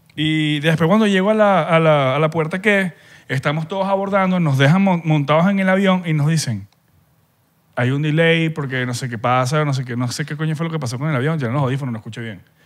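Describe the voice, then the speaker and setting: Against a quiet background, a man speaks at a fairly quick pace in a Venezuelan accent, his pitch fairly high. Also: ordinary pitch variation. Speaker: podcast co-host. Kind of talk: casual chat. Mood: annoyed, recounting travel trouble. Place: studio. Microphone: studio mic.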